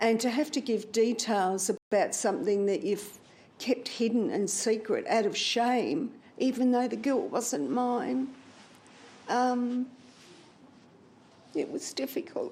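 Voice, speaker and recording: At a very slow pace, this dark, mellow voice uses lively intonation and takes long, frequent pauses. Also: woman, high pitch for a woman. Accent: Australian. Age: 70s. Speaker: abuse survivor. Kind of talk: interview testimony.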